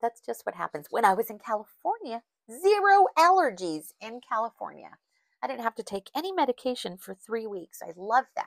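In a dry, close sound with no echo, a woman speaks at a fairly quick pace with a fairly high, nasal voice, big pitch swings and vocal fry. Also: fairly bright tone.

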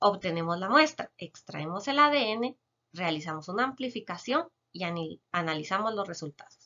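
A woman with a medium pitch talks at a moderate pace, her pitch swinging very widely and her loudness shifting a lot, with long, frequent pauses against a quiet background. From Guatemala, San Marcos; Guatemala. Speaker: chemist biologist. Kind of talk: educational Q&A explanation. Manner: frequent filler hesitations. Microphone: webcam.

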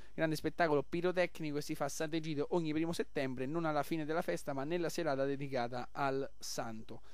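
A man talks at a very fast pace in an upbeat, enthusiastic tone. His voice is fairly high, and there are hardly any pauses. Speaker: radio host. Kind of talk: radio pitch promoting a festival taverna and event schedule. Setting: live radio broadcast from a local festival. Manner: upbeat, rapid-fire, enthusiastic promoter; jovial, chatty, superlative-laden.

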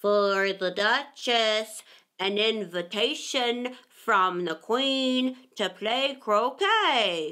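A woman speaks at a very slow pace in a put-on character voice. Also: fairly high pitch for a woman. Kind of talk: pompous courtly. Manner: solemn, formal.

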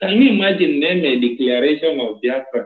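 Against a quiet background with audible room echo, a man with a Nigerian accent speaks at a moderate pace in a fairly high pitch with lively intonation. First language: Igbo. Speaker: activist livestream host. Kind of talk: casual chat. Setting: phone call. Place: home room. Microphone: phone near.

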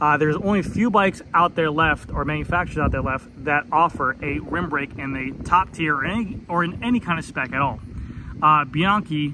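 A man speaks at a fairly quick pace. There is noticeable background noise behind him. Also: dry sound with no echo. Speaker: bike reviewer. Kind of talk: casual product commentary. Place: street. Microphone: phone near.

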